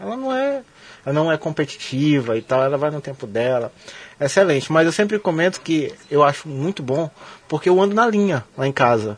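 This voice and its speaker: This man has a normal speaking voice, pitched fairly high, with lively intonation. He talks at a moderate pace. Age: 30s. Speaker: radio sports show host. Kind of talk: casual interview.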